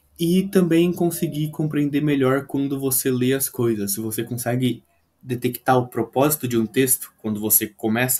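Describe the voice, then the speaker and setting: A man speaks in a normal speaking voice at medium pitch. His pace is moderate. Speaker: English tutor. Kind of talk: video lesson.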